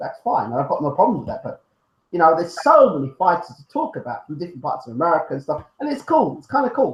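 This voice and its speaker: At a very fast pace, a man talks in a high pitch with very wide swings. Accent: British. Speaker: boxing YouTube show host. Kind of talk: casual chat. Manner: animated.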